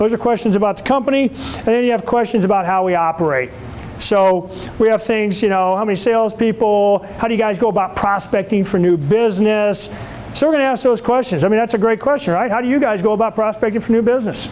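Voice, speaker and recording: Over noticeable background noise, a man talks loudly at a very fast pace and a high pitch, with ordinary pitch variation. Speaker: sales trainer. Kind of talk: lecture. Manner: animated.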